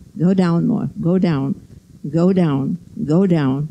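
A woman's dark, mellow voice is somewhat breathy, with lively intonation. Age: 80s+. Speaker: yoga teacher. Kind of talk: led yoga class instruction. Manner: precise, constantly reminding. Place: gym.

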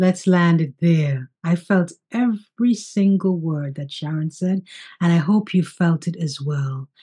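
The voice is dark, mellow and somewhat breathy, with ordinary pitch variation. It moves at a fairly slow pace against a quiet background. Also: woman, fairly low pitch for a woman. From St. Kitts, Caribbean. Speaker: podcast host, life coach. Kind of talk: casual interview chat. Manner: animated. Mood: warm, spiritual, encouraging. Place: home room. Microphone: video call.

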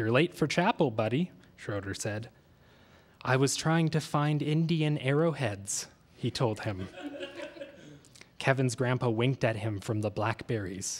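Pausing long and often, a man talks at a moderate pace with ordinary pitch variation. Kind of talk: literary reading. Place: studio. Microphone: studio mic.

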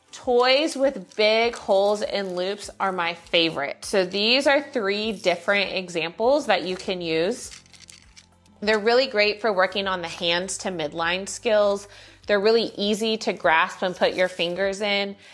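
With faint music in the background, a woman speaks at a fairly slow pace and ordinary pitch variation. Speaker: baby development educator. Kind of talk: tutorial. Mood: warm, friendly. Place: studio.

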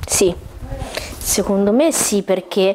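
Fairly even intonation in a woman's speech. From Italy, Umbria (Gualdo Tadino); Umbria, Italy. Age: 20s. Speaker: photographer; interview guest. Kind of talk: talk show interview. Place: home room.

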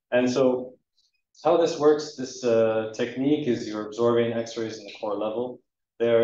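Speaking in a Canadian accent, a man keeps fairly even intonation at a moderate pace, with audible room echo. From eastern Canada. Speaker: research scientist; presenter. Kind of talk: lecture. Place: hall.

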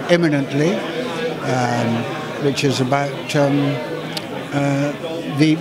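A man speaks with crowd noise in the background. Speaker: actor. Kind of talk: interview answer.

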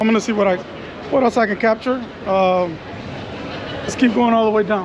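Noticeable background noise and audible room echo surround speech with ordinary pitch variation. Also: woman. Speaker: street photographer vlogger. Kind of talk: casual vlog narration. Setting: outdoors on city street at night. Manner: casual, filler words. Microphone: muffled by mask.

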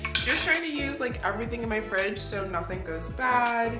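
A woman talks at a medium pace. Music can be clearly heard behind her. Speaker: home cook vlogger. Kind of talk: casual vlog chat. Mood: relaxed, cheerful. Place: kitchen. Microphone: camera far.

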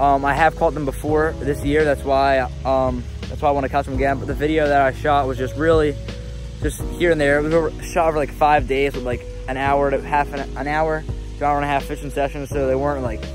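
A man at a fairly quick pace, dry sound with no echo, clear music playing behind him. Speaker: fishing vlogger. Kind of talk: casual vlog chat. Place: garden. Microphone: lapel.

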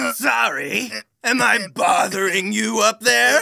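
Raspy and raised, a cartoonish character voice projects at a fairly slow pace. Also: man, high pitch for a man.

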